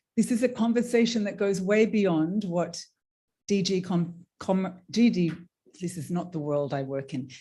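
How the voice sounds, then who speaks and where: Somewhat breathy and dark, mellow in tone, this voice carries an Australian accent and lively intonation. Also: woman. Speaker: panel moderator, trade union worker. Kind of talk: panel discussion moderation. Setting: conference room with audience.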